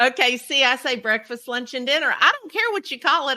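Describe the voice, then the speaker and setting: A woman with a Southern US accent uses a raised, projected voice at a high pitch and a fairly quick pace, with ordinary pitch variation. Noticeable background noise is present. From Kentucky. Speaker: podcast host, cookie decorator. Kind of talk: casual interview chat.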